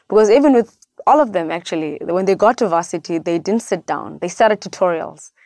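A woman with a South African accent, medium pitch, lively intonation and a fairly quick pace, in a dry, close sound with no echo. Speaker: education nonprofit founder. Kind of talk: interview.

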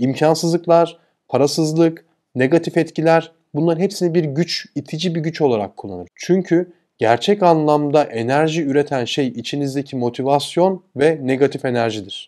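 A man speaks at a moderate pace in a dark, mellow tone with ordinary pitch variation. The background is quiet. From Turkey. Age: 40s. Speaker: e-commerce entrepreneur and YouTuber; YouTuber. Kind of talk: motivational talk. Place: home room. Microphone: lapel.

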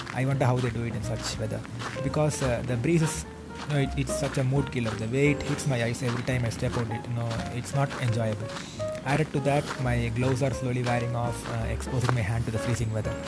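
A man talks at a very fast pace. Loud background noise is present. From India. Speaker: vlogger. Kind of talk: vlog narration. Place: forest.

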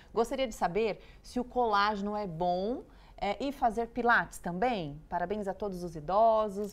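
A woman with a Brazilian accent speaks at medium pitch with lively intonation. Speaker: TV show co-host. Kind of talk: live TV magazine show. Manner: warm, affectionate. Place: studio. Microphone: lapel.

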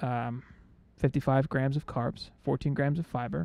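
Very slowly, a man talks at a medium pitch in a dark, mellow tone, and the sound is dry with no echo. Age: 30s. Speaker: podcast co-host. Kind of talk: casual chat. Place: home room. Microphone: studio mic.

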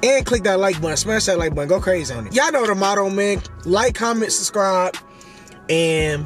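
Over faint music in the background, a man speaks at a fairly quick pace in a dry sound with no echo. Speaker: delivery driver vlogger. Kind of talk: casual vlog chat. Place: car. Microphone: phone near.

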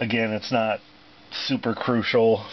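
Over light background noise, a man speaks in a fairly low pitch with monotone, flat intonation. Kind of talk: casual vlog chat. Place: car. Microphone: phone near.

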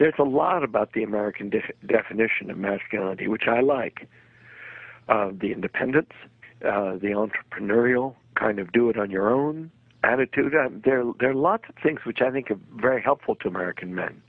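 An ordinary speaking voice from a man, medium in pitch, with ordinary pitch variation and a fairly quick pace. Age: 60s. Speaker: psychologist and author. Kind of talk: interview.

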